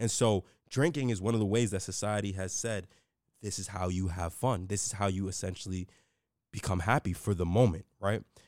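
A man's normal speaking voice, fairly low in pitch, with an American accent, fairly even intonation and a fairly quick pace, on a very clean recording with a silent background. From New York City, the Bronx. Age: 20s. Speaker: podcast host. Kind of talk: solo motivational talk.

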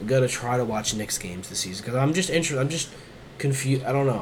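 A man with a medium pitch talks at a very fast pace in an animated tone, with audible room echo and noticeable background noise. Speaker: basketball podcast co-host. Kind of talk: casual chat.

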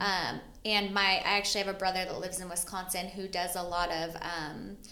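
A woman with a fairly low pitch and a bright, sharp tone speaks at a moderate pace with little pitch movement, and room echo is audible.

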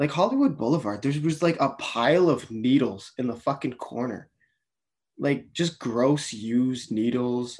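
A man with a Canadian accent speaks in an ordinary speaking voice, medium in pitch, at a moderate pace with ordinary pitch variation and a quiet background. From Canada. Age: 20s. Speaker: auto detailer and podcaster. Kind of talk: casual chat.

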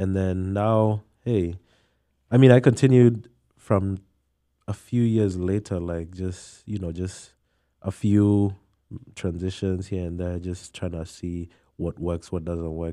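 In a very clean recording with a silent background, a man with a very deep, low pitch and a dark, mellow tone talks at a very slow pace, with long, frequent pauses and fairly even intonation. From Kenya, Nairobi. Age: young. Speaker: college student and DJ. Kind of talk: casual chat.

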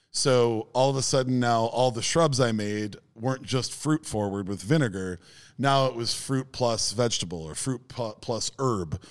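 A man with an American accent has a normal speaking voice, a medium pitch and ordinary pitch variation. He keeps a moderate pace on a very clean recording with a silent background. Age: 40s. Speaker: podcast co-host, former DJ. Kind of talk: casual chat. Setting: studio.

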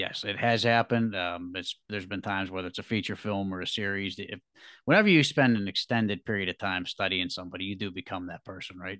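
A man with an American accent talks at a very fast pace in a fairly low voice with a bright, sharp tone and fairly even intonation. The sound is dry and close with no echo, and the background is quiet. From Pittsburgh, Pennsylvania. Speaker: actor and filmmaker. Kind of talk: interview.

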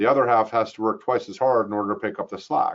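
This man talks at a fairly quick pace in a fairly low pitch.

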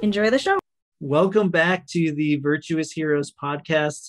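At a fairly slow pace and with fairly even intonation, the speaker has a normal speaking voice. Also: man. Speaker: podcast host. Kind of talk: interview.

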